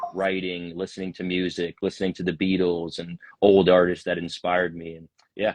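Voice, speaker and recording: The man's voice is very deep and low, flat and monotone, moving at a moderate pace. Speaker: singer-songwriter. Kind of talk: interview answer.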